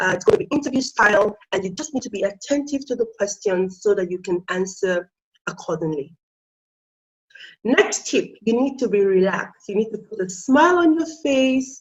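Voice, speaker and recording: A somewhat breathy, fairly high-pitched woman's voice at a moderate pace, with very wide pitch swings. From Nigeria. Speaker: IELTS tutor. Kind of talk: tutorial.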